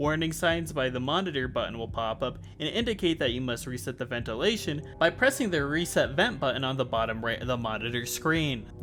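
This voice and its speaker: Music plays in the background. The speech moves at a fairly quick pace with hardly any pauses. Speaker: video game analysis YouTuber. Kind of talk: scripted video essay narration. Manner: fast.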